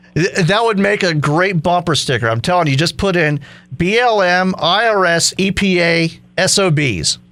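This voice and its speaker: A bright, sharp tone at a moderate pace, with very even loudness and ordinary pitch variation. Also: man, high pitch for a man. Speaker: talk radio host. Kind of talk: talk radio conversation.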